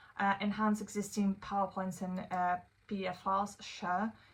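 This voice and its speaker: A woman with a non-native accent speaks at a medium pitch and a moderate pace. Her voice is somewhat breathy. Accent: noticeable non-native English. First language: not English (English is third language or later). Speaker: AI tools creator, consultant. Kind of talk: tutorial. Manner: casual, with many fillers (um, uh, like).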